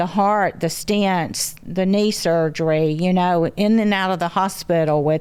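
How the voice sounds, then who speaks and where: With a Southern US accent, a woman talks at a fairly slow pace and medium pitch with ordinary pitch variation, in a very clean recording with a silent background. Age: 70s. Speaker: grandmother, mother of show's family matriarch. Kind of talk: casual chat. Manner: halting.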